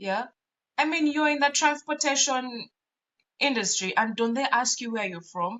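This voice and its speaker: A woman speaks with a Ugandan accent at a moderate pace. Her voice is high-pitched, with lively intonation. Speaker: podcast co-host. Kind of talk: casual chat. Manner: animated.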